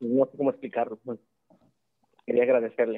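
A man at a medium pitch with monotone, flat intonation. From Mexico. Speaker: caller. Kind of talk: call-in question to a live show. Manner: hesitant, filler-heavy (este, eh).

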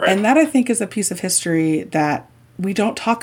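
Lively intonation from a woman with an American accent at a moderate pace, very cleanly recorded against a silent background. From Indiana. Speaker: sports journalist and author. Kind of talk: interview.

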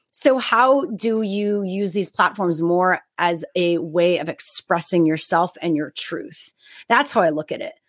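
With a normal speaking voice, a woman talks at a fairly slow pace and with lively intonation on a very clean recording with a silent background. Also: medium pitch for a woman. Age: 30s. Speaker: media host and content creator. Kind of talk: interview podcast conversation.

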